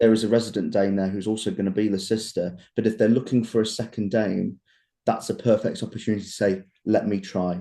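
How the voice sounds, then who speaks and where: A man speaks very fast in an East Midlands accent. His voice is fairly low-pitched with a dark, mellow tone. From England, Leicester. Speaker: pantomime dame actor. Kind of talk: casual interview chat. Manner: animated.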